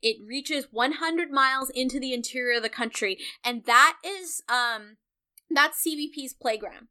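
At a moderate pace, a woman uses a raised, projected voice that is high in pitch, with a bright, sharp tone. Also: ordinary pitch variation. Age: 30s. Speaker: co-host and political organizer. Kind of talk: casual chat.

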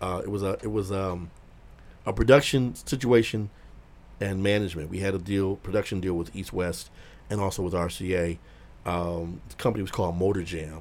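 At a fairly quick pace, a man with an American accent speaks at a very deep, low pitch. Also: ordinary pitch variation. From Detroit. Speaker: music industry veteran. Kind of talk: casual chat.

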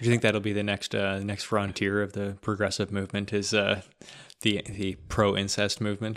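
A man with a Canadian accent talks at a moderate pace in a fairly low, monotone voice with flat intonation. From Ontario, Canada. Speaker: podcast host. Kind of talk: casual chat.

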